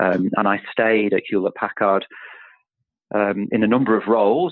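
A man with a slight northern English accent, fairly low pitch, moderate pace and fairly even intonation. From Manchester, northern England. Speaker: chief executive of professional institute. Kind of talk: interview, conversational.

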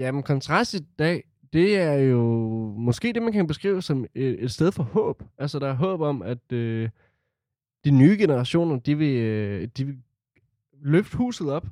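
A man with a fairly high voice and dark, mellow tone, very wide pitch swings, a very slow pace with long, frequent pauses, and a dry, close sound with no echo. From Denmark, Herning (central Jutland). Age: 20s. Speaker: youth centre board member, student. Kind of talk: interview testimony.

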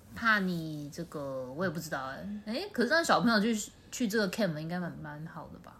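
With audible room echo, a woman speaks at a fairly quick pace in a fairly low pitch, with very wide pitch swings and big swings in loudness. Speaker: podcast co-host. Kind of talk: casual chat. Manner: slightly slurred.

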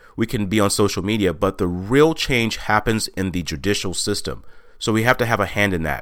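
A man speaks in an ordinary speaking voice with an American accent, at a fairly low pitch and a moderate pace, with ordinary pitch variation. The recording is very clean, with a silent background. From Texas. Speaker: podcast host and motivational speaker. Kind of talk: monologue podcast.

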